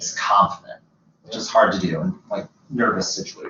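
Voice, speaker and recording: A man speaks at a moderate pace, his medium pitch showing ordinary variation. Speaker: career advisor. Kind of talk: advising session. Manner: loud.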